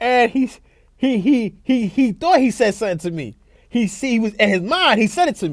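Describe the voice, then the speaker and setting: At a moderate pace, a man speaks in a high pitch with lively intonation. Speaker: sports talk show co-host. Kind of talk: casual chat.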